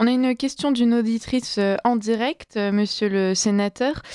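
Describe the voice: This woman has a fairly high pitch, a clear, smooth, slightly mellow tone, and ordinary pitch variation. She speaks at a moderate pace in a dry, close sound with no echo.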